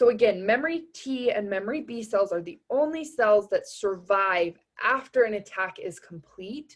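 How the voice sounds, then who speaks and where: A woman's ordinary speaking voice, fairly high in pitch, with lively intonation, big swings in loudness, a moderate pace, and hardly any pauses. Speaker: anatomy tutor. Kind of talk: recorded review lecture. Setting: recording over tablet drawing.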